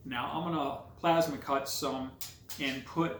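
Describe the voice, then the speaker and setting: Audible room echo surrounds a man's voice. His intonation is fairly even. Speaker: car hobbyist video maker. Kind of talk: tutorial. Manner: casual, hesitant with filler words.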